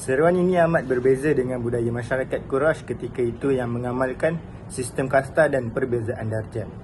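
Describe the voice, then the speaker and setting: A man with fairly even intonation and a medium pitch talks against noticeable background noise. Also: moderate pace. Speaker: student. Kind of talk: class presentation.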